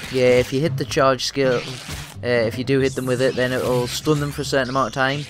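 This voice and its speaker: A man at medium pitch, very fast and monotone with flat intonation, over noticeable background noise. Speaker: gaming commentator. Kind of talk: let's play commentary. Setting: at home late at night. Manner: quiet, speaking softly. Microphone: new microphone.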